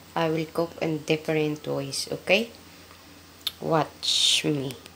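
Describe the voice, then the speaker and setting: Speaking very slowly with a Filipino accent, a woman is heard over noticeable background noise. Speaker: domestic worker cooking vlogger. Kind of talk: cooking tutorial. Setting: kitchen. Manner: halting.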